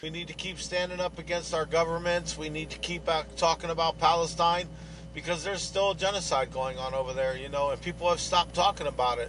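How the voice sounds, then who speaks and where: Talking at a very fast pace, a man uses fairly even intonation at a fairly high pitch. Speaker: activist truck owner. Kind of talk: casual interview. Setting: video call from inside his truck. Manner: loud.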